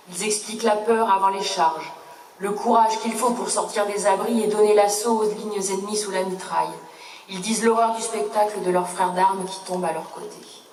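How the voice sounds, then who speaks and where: Over noticeable background noise, a woman speaks at a moderate pace in a solemn tone, her fairly high pitch held in a monotone, flat intonation. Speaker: sub-prefect, government official. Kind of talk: official commemorative speech read aloud. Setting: outdoors, public ceremony. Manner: solemn, formal.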